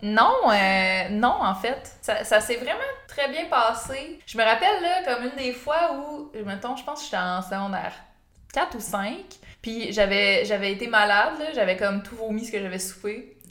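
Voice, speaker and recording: A woman's fairly high-pitched voice with a Quebec accent, at a fairly slow pace, with audible room echo and noticeable background noise. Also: lively intonation, big swings in loudness. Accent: Québécois French. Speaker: YouTuber. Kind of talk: casual chat.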